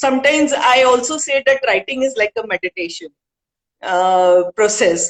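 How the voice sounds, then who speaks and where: Lively intonation in an Indian accent, with a dry, close sound and no echo. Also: woman. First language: Hindi. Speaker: author and poet. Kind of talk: interview.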